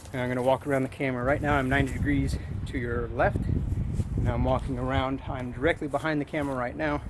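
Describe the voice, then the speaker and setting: Fairly even in intonation, a man speaks at a very fast pace. Noticeable background noise can be heard. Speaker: camera gear reviewer. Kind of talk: tutorial. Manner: loud.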